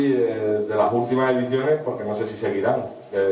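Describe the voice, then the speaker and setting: With audible room echo and light background noise, a man talks at a fairly quick pace with fairly even intonation. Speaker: club host presenting performers. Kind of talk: event announcement. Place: stage.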